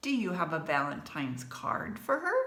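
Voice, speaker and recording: A female-sounding voice puts on a character voice at a moderate pace and a medium pitch. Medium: read story.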